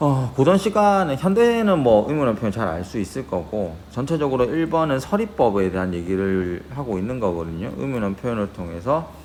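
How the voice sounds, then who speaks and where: A man speaks at a fairly quick pace, his pitch swinging very widely. Noticeable background noise and audible room echo surround him. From Gyeongsang region, South Korea. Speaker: high school Korean teacher. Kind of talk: lecture. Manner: conversational, checks in with students.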